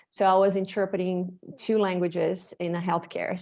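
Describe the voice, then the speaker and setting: Over a quiet background, a woman with a Portuguese accent speaks at a moderate pace and medium pitch. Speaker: bodywork practitioner, former medical interpreter. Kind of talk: interview.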